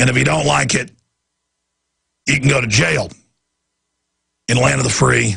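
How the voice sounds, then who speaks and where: Strained, raspy and hoarse, a man's put-on character voice sits at a medium pitch and moves at a moderate pace. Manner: struggling to speak.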